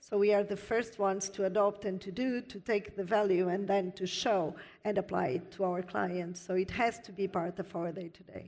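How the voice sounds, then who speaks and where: With a non-native accent, a woman talks at a moderate pace and medium pitch, with fairly even intonation, hardly any pauses and a quiet background. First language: not English. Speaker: panelist, IT industry executive. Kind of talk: panel discussion. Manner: frequent hesitations.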